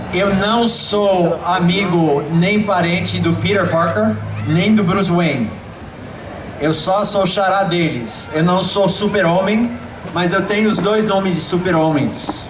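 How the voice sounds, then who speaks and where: A man talks at a very slow pace in a high pitch, with ordinary pitch variation and very even loudness. Noticeable background noise and audible room echo come through. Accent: American. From Brazil, Belém do Pará. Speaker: preacher. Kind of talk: sermon. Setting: outdoor evangelistic event with audience. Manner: animated.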